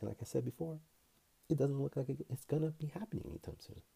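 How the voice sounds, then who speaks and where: A man's somewhat breathy voice, dark and mellow in tone, moves at a fairly quick pace. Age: young. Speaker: personal finance youtuber, healthcare professional. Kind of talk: casual vlog commentary.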